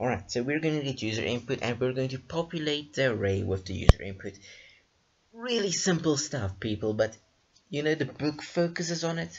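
A man talks at a fairly quick pace with lively intonation. His medium-pitched voice is somewhat breathy. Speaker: programming tutor. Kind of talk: tutorial. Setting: screen recording.

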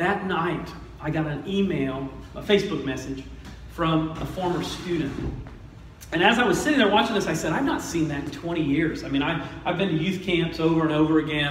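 A man at a fairly quick pace with ordinary pitch variation, light background noise and audible room echo. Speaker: pastor. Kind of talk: sermon. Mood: humorous, warm. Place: church.

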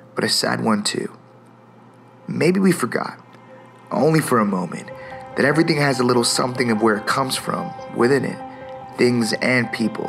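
Faint music plays in the background as a man talks at a moderate pace with lively intonation. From Toronto, Canada. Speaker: spoken word poet. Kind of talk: spoken word poetry performance. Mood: gentle, reflective, earnest. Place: studio.

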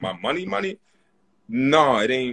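A man's voice, bright and sharp in tone, comes through against a quiet background. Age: 30s. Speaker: comedian and podcaster; comedian, podcaster. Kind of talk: casual chat. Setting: livestream video call. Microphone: phone near.

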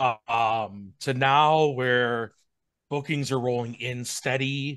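A man with an American accent at a very slow pace, fairly even intonation, a dry sound with no echo, and a quiet background. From Wisconsin. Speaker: wedding DJ, business owner. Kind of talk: casual chat. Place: home room. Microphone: video call.

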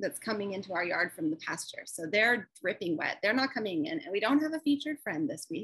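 Against a quiet background, a woman speaks with very wide pitch swings. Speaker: co-host of a stitching show. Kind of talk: casual vlog chat. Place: home room. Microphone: video call.

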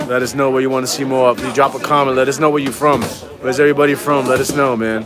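Clear music plays behind a man who talks very fast. The sound is dry with no echo. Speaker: gym host filming the stream. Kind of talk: casual live-stream chat to viewers. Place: gym.

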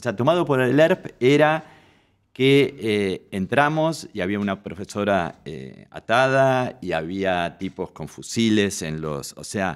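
A man talks at a very slow pace and a fairly low pitch, with very wide pitch swings and big swings in loudness. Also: quiet background. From Argentina, Buenos Aires northern suburbs (Vicente López); Buenos Aires, Argentina. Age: 60s. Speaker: fashion and portrait photographer; guest. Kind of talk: interview. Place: studio. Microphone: studio mic.

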